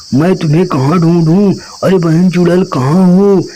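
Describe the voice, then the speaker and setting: A man puts on a cartoonish character voice over clear background noise. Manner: earnest, pleading.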